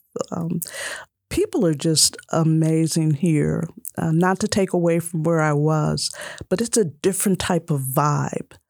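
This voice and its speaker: In a plain, everyday voice, a woman speaks at a fairly low pitch and a fairly slow pace, her loudness very even. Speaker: author and memory care director. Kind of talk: radio interview.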